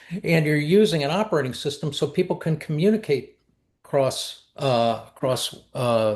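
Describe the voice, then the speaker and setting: A somewhat breathy man at a fairly high pitch, with lively intonation, against a quiet background. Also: moderate pace. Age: 70s. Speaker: collaboration method founder and speaker. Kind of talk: interview conversation. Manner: halting, with frequent repetitions.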